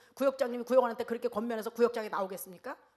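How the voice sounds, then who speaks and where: An animated tone at a very fast pace. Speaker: evangelism seminar speaker. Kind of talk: seminar lecture. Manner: animated, acts out dialogues.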